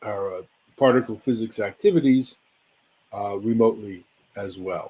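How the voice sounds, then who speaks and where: A man with an American accent in a normal speaking voice, medium pitch, ordinary pitch variation and a moderate pace. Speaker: physicist, science educator. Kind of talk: lecture. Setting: online webinar.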